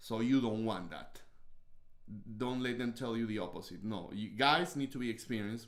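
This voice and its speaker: At a moderate pace and medium pitch, a man speaks with ordinary pitch variation. He pauses long and often. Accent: strong Peruvian. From Peru. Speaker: host's husband, podcast co-host. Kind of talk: casual chat. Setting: livestream.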